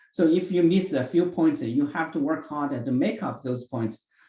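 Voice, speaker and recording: This man's voice sits fairly high and carries a dark, mellow tone. He speaks at a moderate pace with ordinary pitch variation, and some room echo can be heard. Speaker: chemistry professor. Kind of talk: lecture.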